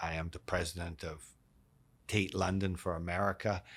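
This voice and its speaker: Monotone, flat intonation from a man with a Canadian accent at a moderate pace, on a very clean recording with a silent background. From Canada, Vancouver. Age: 60s. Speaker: real estate executive. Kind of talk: interview. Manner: repetitive restarts.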